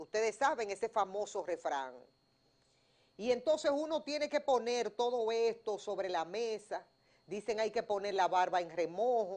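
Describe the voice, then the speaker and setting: Her intonation is lively and her pitch fairly high. The woman speaks at a fairly slow pace. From Dominican Republic. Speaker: news analysis show host. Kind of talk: news analysis talk show. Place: studio.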